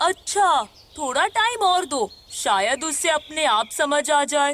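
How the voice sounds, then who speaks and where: A cartoonish character voice at a high pitch and a fairly slow pace. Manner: calm, sympathetic.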